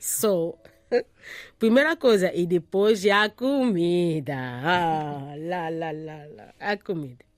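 A woman speaks at a very slow pace in a fairly low pitch with lively intonation, on a very clean recording with a silent background. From DR Congo, Kinshasa. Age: 30s. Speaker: refugee and support worker. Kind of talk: interview. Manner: halting.

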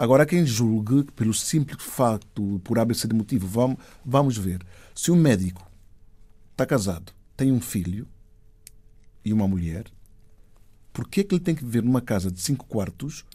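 With long, frequent pauses, a man uses lively intonation in a somewhat breathy, dark, mellow voice at medium pitch. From Equatorial Guinea, Spain and São Tomé. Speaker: actor and filmmaker. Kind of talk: interview.

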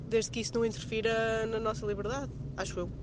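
Noticeable background noise sits behind a woman who speaks fairly quickly at a fairly high pitch. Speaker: radio listener caller. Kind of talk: casual chat. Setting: phone call. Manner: fast.

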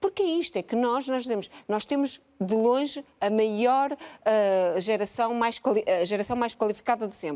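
A woman speaks at a moderate pace in a fairly high pitch, her dark, mellow tone carried by lively intonation. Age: 50s. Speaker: biologist and research institute director. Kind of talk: televised panel debate. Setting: live broadcast from a museum.

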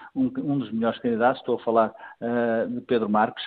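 This man has a normal speaking voice, talking at a fairly quick pace with ordinary pitch variation. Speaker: political commentator. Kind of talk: political analysis interview.

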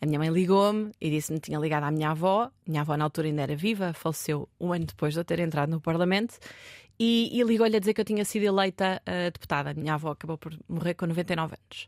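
With a dry, close sound, no echo and a silent background on a very clean recording, a woman speaks at a very fast pace with ordinary pitch variation. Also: fairly low pitch for a woman. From Portugal, Marinha Grande. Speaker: politician. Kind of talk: interview. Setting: studio. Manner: hesitant.

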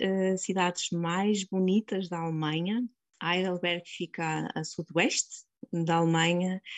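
Very slow pace from a woman at medium pitch. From northern Portugal, Vila Nova de Gaia. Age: 40s. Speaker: nurse. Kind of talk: interview. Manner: halting.

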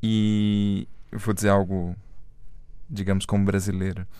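The recording has audible room echo. A man speaks at a very slow pace with a fairly low pitch. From Brazil. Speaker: radio host. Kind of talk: interview. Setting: studio.

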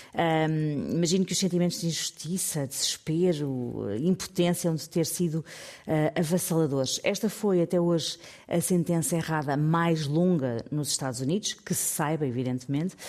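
A woman with a plain, everyday voice talks at a moderate pace, with fairly low pitch and ordinary pitch variation. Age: 50s. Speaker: radio columnist. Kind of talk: radio segment, news story telling.

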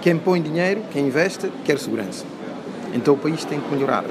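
A fairly high-pitched man at a fairly quick pace, ordinary pitch variation, audible room echo, and noticeable background noise. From Guinea-Bissau, Bissau. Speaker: environmental engineer. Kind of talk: interview.

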